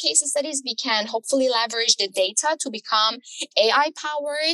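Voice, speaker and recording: A woman's raised, projected voice in an Iranian accent, high-pitched with ordinary pitch variation, bright and sharp in tone, at a moderate pace, with a dry, close sound and no echo. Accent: Iranian (Persian) accent in English. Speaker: architecture tech startup founder. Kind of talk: podcast interview.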